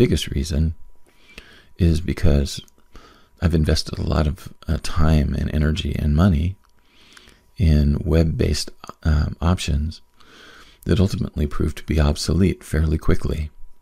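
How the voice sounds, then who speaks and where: A soft-spoken man talks in a very deep, low voice with fairly even intonation. He leaves long, frequent pauses. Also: moderate pace. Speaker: podcast host and business coach. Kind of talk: casual solo monologue. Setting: at home late at night. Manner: soft-spoken, quiet; rambling with many fillers.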